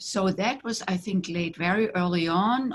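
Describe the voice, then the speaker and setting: A woman with a German accent, somewhat breathy, at a fairly slow pace. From Germany. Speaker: tantra teacher. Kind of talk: interview.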